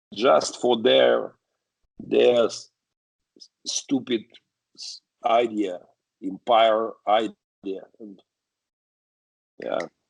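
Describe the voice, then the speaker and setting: A man speaks at a very slow pace with long, frequent pauses. His loudness rises and falls in big swings. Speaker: pastor. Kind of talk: interview. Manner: halting.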